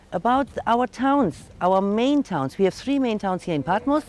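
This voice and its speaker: Speaking at a moderate pace with a German accent, a woman uses a fairly high pitch and lively intonation, the sound dry and close with no echo. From Germany. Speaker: tour guide. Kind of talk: guided tour.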